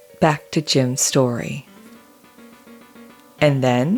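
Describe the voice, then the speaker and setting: A woman's very deep, low voice at a very slow pace, with music playing in the background. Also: long, frequent pauses. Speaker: podcast host. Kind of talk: documentary narration.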